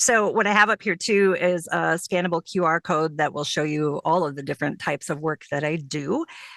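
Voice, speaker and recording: A woman talks at a fairly quick pace with hardly any pauses, her fairly low voice showing ordinary pitch variation. The sound is dry and close, with no echo. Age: 50s. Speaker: professional voiceover artist. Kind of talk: conference presentation. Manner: fast.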